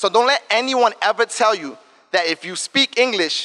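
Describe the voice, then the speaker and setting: A man speaks in an animated way, his voice raised and projected. The tone is bright and sharp, with a dry, close sound and no echo. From New York, South Bronx. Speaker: diversity and inclusion director, advertising strategist. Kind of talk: talk to students. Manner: fast; casual, animated.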